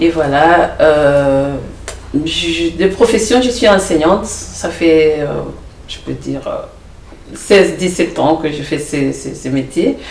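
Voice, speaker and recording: Very slowly and with long, frequent pauses, the speaker uses lively intonation and big swings in loudness, amid audible room echo and noticeable background noise. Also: woman, very deep, low pitch for a woman. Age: 50s. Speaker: teacher and political candidate. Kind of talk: TV panel interview. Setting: TV studio.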